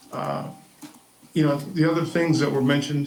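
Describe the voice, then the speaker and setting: His intonation stays fairly even as this man talks. The room around him gives off audible echo. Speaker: veteran, public commenter. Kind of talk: public comment at council meeting. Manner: halting.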